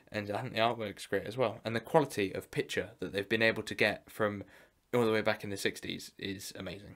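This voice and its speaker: This man has an unremarkable speaking voice with a fairly low pitch. He talks at a fairly quick pace with fairly even intonation over a quiet background. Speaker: collector vlogger. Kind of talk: casual vlog chat. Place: home room.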